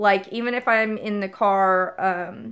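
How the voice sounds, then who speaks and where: Over a silent background in a very clean recording, a woman speaks fairly slowly at medium pitch in a monotone, flat way. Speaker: vlogger. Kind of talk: casual vlog monologue. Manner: hesitant, many fillers.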